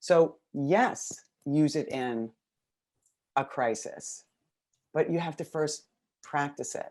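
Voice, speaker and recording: Speaking very slowly with long, frequent pauses, a woman uses lively intonation in an American accent. Her pitch is very deep and low for a woman. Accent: New York accent when excited. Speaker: educational consultant. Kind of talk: webinar presentation. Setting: video call webinar. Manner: fairly quiet.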